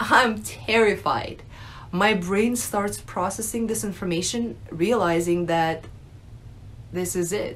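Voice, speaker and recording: At a fairly slow pace, a woman speaks with lively intonation. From Russia, moved to US at nine. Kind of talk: personal testimony, unscripted. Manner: hesitant, many fillers. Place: home room. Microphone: phone near.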